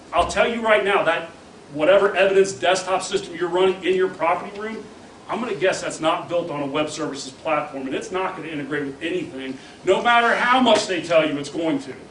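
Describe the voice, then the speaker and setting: A man talks fairly quickly in a high voice, sounding animated, with lively intonation. Room echo is audible and background noise is noticeable. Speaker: software vendor presenter. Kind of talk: conference presentation. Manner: fast.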